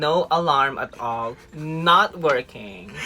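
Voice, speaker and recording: With music in the background, a woman speaks in a Filipino accent at a very deep, low pitch with lively intonation. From Philippines. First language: Filipino language. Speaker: photographer on cruise ship. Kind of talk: casual chat. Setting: aboard a cruise ship.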